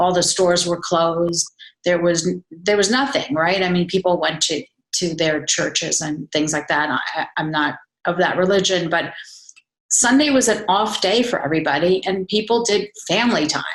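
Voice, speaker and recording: A woman with an ordinary speaking voice talks at a moderate pace and fairly low pitch, with ordinary pitch variation. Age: 60s. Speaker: wellness coach. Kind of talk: casual chat.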